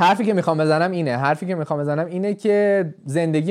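A man with a high pitch and ordinary pitch variation speaks on a very clean recording with a silent background. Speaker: podcast host. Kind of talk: casual chat.

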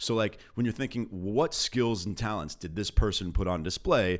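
Here a man talks with an American accent at a moderate pace. His pitch varies in an ordinary way. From Los Angeles, California. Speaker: business attorney and start-up investor. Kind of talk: casual chat.

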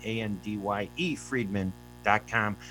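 A man talks with an American accent. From US, Palestinian heritage. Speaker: radio host and journalist. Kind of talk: radio interview. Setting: radio studio streamed on Facebook video.

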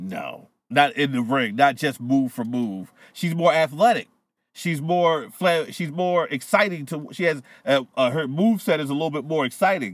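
In a very clean recording with a silent background, a man with an unremarkable speaking voice talks at a moderate pace, his fairly high pitch moving with lively intonation. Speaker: podcast co-host. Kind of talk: casual banter. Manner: casual, profane.

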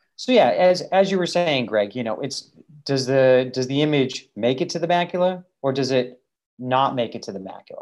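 An ordinary speaking voice with an American accent and lively intonation comes through over a quiet background. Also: man. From Massachusetts. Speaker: optician and podcast co-host. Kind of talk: casual educational chat.

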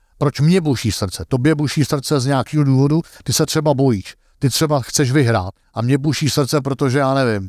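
In a plain, everyday voice, a man with a fairly high pitch talks at a moderate pace with ordinary pitch variation and very even loudness, recorded very cleanly with a silent background and a dry, close sound with no echo. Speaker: golf coach and analyst. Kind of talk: interview.

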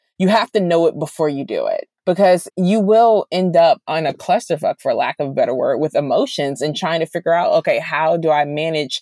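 A woman speaks with an American accent at a moderate pace. The sound is dry and close, with no echo. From Washington DC area (DC, Maryland, Virginia). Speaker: TV writer. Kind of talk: interview.

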